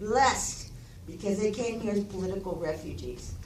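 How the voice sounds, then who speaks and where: A woman's medium-pitched voice carries audible room echo, with noticeable noise in the background. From Cuba, raised in Oklahoma from age six. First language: Spanish. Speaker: community speaker. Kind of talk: public testimony. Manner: impassioned.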